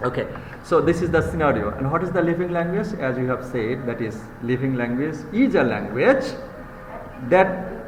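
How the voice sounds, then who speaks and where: A high-pitched man's voice with very wide pitch swings, audible room echo and noticeable background noise. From Bangladesh. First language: Bengali. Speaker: university lecturer. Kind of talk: lecture. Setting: live class.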